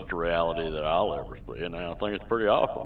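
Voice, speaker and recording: The speaker has a Southern US accent and fairly even intonation. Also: man. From Southern California. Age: 50s. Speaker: gamer. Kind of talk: interview. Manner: halting. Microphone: echo.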